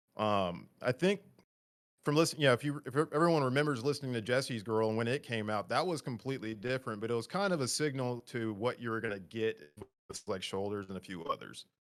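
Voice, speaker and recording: This man talks at a very fast pace, with lively intonation at a medium pitch. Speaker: music podcast guest. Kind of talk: casual chat.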